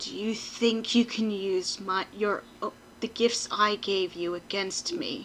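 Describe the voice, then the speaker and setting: A woman's growling, put-on character voice at medium pitch, at a fairly slow pace, with clear background noise. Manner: growling, frustrated.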